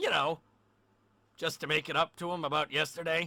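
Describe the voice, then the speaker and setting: A man speaks in a put-on character voice, raspy and fairly high-pitched, at a fairly quick pace. The recording is very clean with a silent background. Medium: audio drama.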